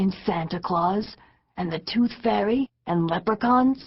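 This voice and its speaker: Using a put-on character voice, a woman speaks raspily at a medium pitch and a fairly slow pace, with ordinary pitch variation. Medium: read story. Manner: gentle, wistful.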